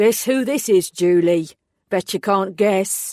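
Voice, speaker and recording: A gruff, put-on character voice at middle pitch, fairly slow in pace, on a very clean recording with a silent background. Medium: read story. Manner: gruff, laconic.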